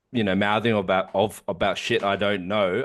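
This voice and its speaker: A man at a fairly low pitch, speaking at a fairly quick pace. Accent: Australian. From Sydney, Australia (Canterbury-Bankstown), Korean-Australian. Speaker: podcast co-host. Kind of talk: casual chat. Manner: fast; animated.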